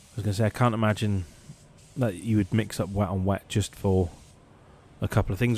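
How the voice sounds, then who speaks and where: The man talks at a very fast pace in a fairly low voice. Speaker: car paint sprayer. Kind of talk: workshop voice-over tutorial. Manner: casual, conversational.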